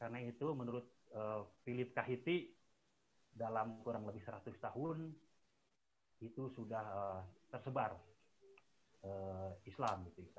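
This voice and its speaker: Over light background noise, a man with a medium pitch and a somewhat breathy voice speaks at a fairly slow pace with ordinary pitch variation. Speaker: researcher; webinar presenter. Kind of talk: webinar presentation. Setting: video call. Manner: halting. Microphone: too quiet; video call.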